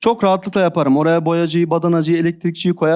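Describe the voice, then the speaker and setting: Over a silent background in a very clean recording, a man talks at a fairly quick pace in a high voice with a dark, mellow tone. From Adıyaman, southeastern Turkey. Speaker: e-commerce seller and digital marketing manager. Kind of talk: interview.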